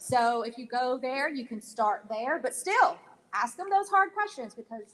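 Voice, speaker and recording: A woman with an American accent talks at a fairly slow pace and a high pitch, with very wide pitch swings and big swings in loudness. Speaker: mental health counselor. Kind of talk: town hall panel discussion.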